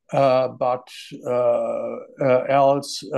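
A voice with a German accent against a quiet background. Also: man. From Germany. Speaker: doctor; webinar panelist. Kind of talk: panel presentation. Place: home room. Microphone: earbuds.

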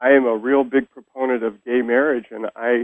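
The speaker uses an American accent and fairly even intonation, with a quiet background and a dry sound with no echo. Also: man. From Sacramento, California; California. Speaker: professor and poet; professor, poet. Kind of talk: interview.

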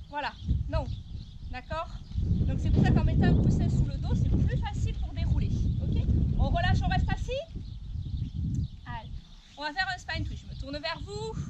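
Loud background noise surrounds a woman speaking at a fairly slow pace. She leaves long, frequent pauses. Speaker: fitness instructor. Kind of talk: exercise class instruction. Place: open country.

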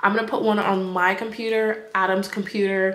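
A woman speaks with an American accent in flat, monotone intonation. The recording has noticeable background noise and audible room echo. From California. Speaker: lifestyle vlogger. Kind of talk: casual vlog talk to camera.

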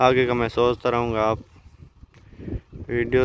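Over noticeable background noise, a man speaks at a fairly slow pace in a monotone, flat way, the sound dry with no echo. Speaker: village farmer vlogger. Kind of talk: casual vlog chat. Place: farm machine. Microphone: phone near.

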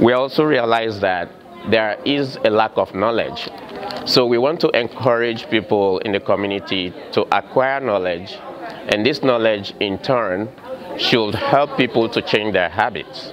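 A man talks at a fairly slow pace with ordinary pitch variation. Crowd noise carries in the background. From Sierra Leone. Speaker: cardiac and intensive care nurse. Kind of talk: interview. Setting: community health fair. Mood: earnest, community-minded. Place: hall.

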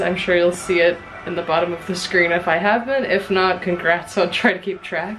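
Music sounds behind the speaker. She is a woman talking at a moderate pace. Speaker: vlogger. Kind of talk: casual vlog chat. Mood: cheerful, relaxed. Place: home room. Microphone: phone near.

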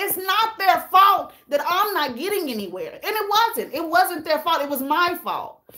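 In a raised, projected voice, a woman speaks at a fairly slow pace with an animated, bright, sharp tone and very wide pitch swings against a quiet background. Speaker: YouTuber hosting a livestream; YouTuber. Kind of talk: casual livestream chat with viewers. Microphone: phone near.

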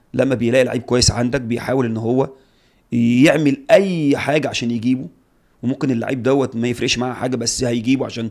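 Someone talks at a fairly quick pace against a quiet background. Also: man, medium pitch for a man. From Egypt. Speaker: retired footballer; guest. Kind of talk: casual interview. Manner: animated. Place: studio. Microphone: studio mic.

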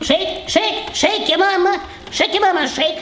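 A man speaks over light background noise, with a slight echo in the recording. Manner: doting, bossy, excitable.

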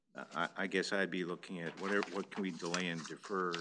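With an American accent, a man speaks in a very deep, low voice at a moderate pace and fairly even intonation, over noticeable background noise. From US Midwest. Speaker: city council member; council member or city official. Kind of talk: council meeting discussion. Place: meeting room.

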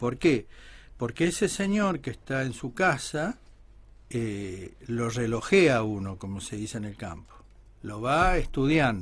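His loudness swings a lot and his pitch swings very widely as this man talks in a somewhat breathy voice. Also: medium pitch for a man, very clean recording, silent background. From Argentina, Buenos Aires. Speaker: musician, son of a famous folk singer. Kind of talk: radio interview.

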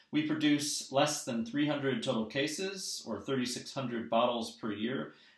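A man's medium-pitched voice, fairly bright in tone, with lively intonation, a fairly slow pace and audible room echo

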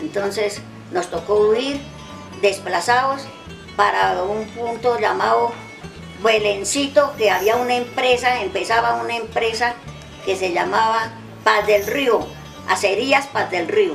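Over clear background music, a woman talks at a very slow pace with long, frequent pauses. Her voice is fairly high, with ordinary pitch variation. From Santander, Colombia. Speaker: elder recounting memories. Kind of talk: interview answer. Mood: calm, reflective recollection. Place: garden.

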